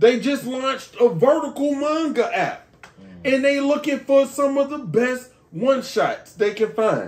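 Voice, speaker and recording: A man's extremely high-pitched voice in an animated tone, at a fairly slow pace with ordinary pitch variation. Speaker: podcast host. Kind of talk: casual chat. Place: home room. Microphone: camera far.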